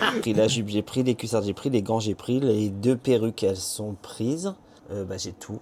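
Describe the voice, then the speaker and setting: A man with a fairly low pitch talks at a moderate pace. His intonation is fairly even, and there is noticeable background noise. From Normandy, France. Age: 40s. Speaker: drag queen. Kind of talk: casual interview chat.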